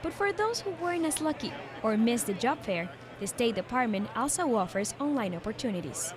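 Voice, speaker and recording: The speaker's pitch swings very widely at a fairly quick pace. Noticeable background noise runs underneath. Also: woman, fairly high pitch for a woman. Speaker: TV news reporter. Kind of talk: TV news report.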